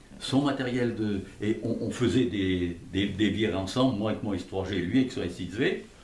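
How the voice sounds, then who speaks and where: A man talks at a moderate pace, with audible room echo around him. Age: 80s+. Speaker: retired factory design engineer. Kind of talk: casual interview. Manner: halting, repetitive.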